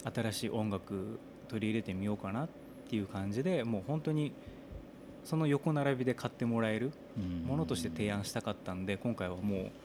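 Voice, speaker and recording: Lively in intonation, a man with a plain, everyday voice and a fairly low pitch speaks at a fairly quick pace. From Japan, Saga Prefecture. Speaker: singer-songwriter. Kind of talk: casual chat.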